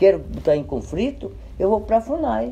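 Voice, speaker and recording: A man talks at a moderate pace. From Brazil, Paraíba (Potiguara land, Northeast). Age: 60s. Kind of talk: interview.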